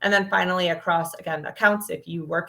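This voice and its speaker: A woman speaks at a fairly low pitch. Her tone is bright and sharp. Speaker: product marketing manager presenting a demo. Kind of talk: webinar presentation. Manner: fast.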